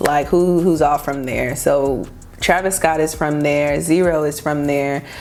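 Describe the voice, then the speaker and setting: Against noticeable background noise, a woman with a very deep, low pitch speaks in a monotone, flat intonation. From Texas, Houston area. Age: 20s. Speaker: fashion blogger and influencer. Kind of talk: casual vlog talk to camera.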